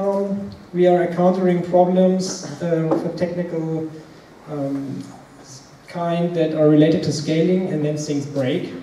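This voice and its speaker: A man's high-pitched voice, with light background noise and audible room echo. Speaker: conference speaker. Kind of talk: lecture. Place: meeting room.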